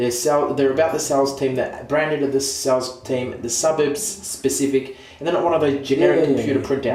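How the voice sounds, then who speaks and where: Noticeable background noise sits behind a man talking at a fairly quick pace in a medium pitch with ordinary pitch variation. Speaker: real estate agency owner and auctioneer. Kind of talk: scripted comedic sketch.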